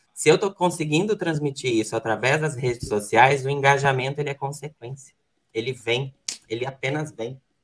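A man talks at a fairly quick pace with a fairly high pitch. His voice is somewhat breathy, with ordinary pitch variation. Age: 20s. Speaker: real estate broker and student. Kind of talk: presentation segment.

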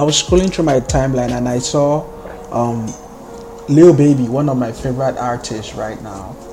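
Over background music, a man with a strong Nigerian accent speaks with ordinary pitch variation and big swings in loudness. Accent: thick Nigerian. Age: young adult, millennial. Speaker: podcast host. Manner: casual, animated ranting.

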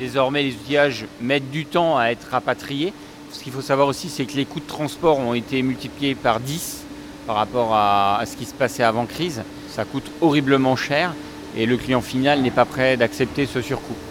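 A man at medium pitch with ordinary pitch variation over noticeable background noise. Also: moderate pace. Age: 40s. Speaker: company director. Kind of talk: factory tour explanation.

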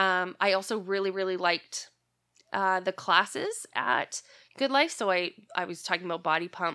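With a Canadian accent, a woman talks at a moderate pace in a bright, sharp tone, her pitch medium and its variation ordinary. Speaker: podcast co-host. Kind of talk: casual chat.

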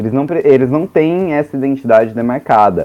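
This man has an ordinary speaking voice at medium pitch, talking at a moderate pace with lively intonation. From interior of Mato Grosso, Brazil. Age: 20s. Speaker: podcaster and theater teacher. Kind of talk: casual chat.

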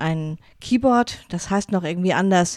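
With a northern German accent, a woman speaks in a dry, close sound with no echo. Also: very clean recording, silent background. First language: Low German (speaking German). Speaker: pastor and podcast host. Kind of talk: casual monologue. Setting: home studio.

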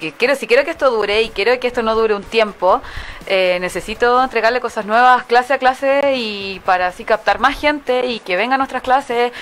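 Ordinary pitch variation and a moderate pace in a plain, everyday voice. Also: woman. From Santiago, Chile. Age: 20s. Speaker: dance studio founder. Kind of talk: interview.

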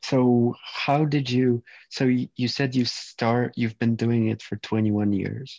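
The man's tone is dark and mellow, with flat, monotone intonation. He speaks at a fairly slow pace. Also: medium pitch for a man. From Poland. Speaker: podcast host. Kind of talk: casual interview chat.

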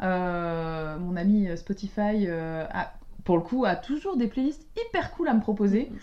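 A woman talks at a very slow pace, her medium-pitched voice dark and mellow. Her intonation is lively. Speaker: podcast co-host. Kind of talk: casual chat. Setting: at co-host's home.

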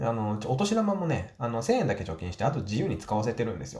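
Over noticeable background noise, a man with a medium-pitched voice talks at a fairly quick pace, his pitch swinging very widely. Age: 40s. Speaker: business owner and podcaster. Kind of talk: solo podcast monologue.

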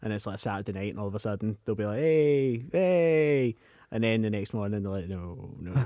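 Fairly low-pitched man in a Scottish accent, dark and mellow in tone, with lively intonation and a fairly quick pace. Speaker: podcast co-host. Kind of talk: casual chat.

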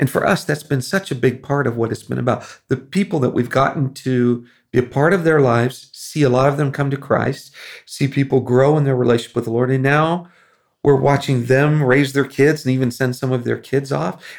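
A man with an American accent talks at a fairly quick pace in an ordinary speaking voice, medium-pitched with fairly even intonation, on a very clean recording with a silent background. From Philippines (American missionary kid). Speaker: missionary. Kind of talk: casual chat.

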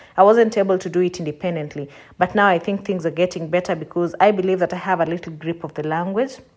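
A woman speaks very fast with fairly even intonation. Her pitch sits fairly low. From Kenya. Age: 30s. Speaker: Kenyan emigrant guest. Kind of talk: personal account.

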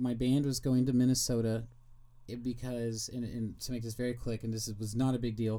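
A man's dark, mellow, medium-pitched voice with an American accent, flat and monotone at a moderate pace, with audible room echo. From Kansas City, Missouri. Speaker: podcaster and YouTuber. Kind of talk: interview about mental health.

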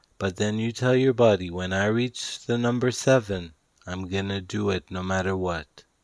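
In a soothing tone, a man with a fairly low pitch and ordinary pitch variation speaks at a fairly slow pace. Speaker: author reading his own self-help audiobook. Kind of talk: guided meditation with breathing and visualization prompts; audiobook narration, spiritual self-help. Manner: slow, soothing, repetitive meditation cues; deliberate, each word emphasized.

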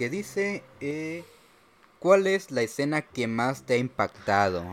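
At a very slow pace, a man with a Mexican accent speaks with very wide pitch swings. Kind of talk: casual chat.

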